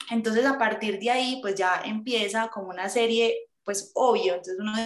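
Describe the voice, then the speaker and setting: The speaker has a normal speaking voice, ordinary pitch variation and a moderate pace. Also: woman. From Colombia, Medellín. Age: 20s. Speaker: aspiring nun. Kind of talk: testimony.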